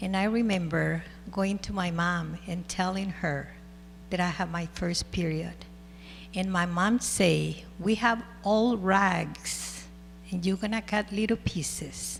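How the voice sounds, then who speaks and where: A woman talks at a very slow pace. Behind her, music is playing. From El Salvador. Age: 60s. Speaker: school board president. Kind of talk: public meeting remarks. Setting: school board meeting.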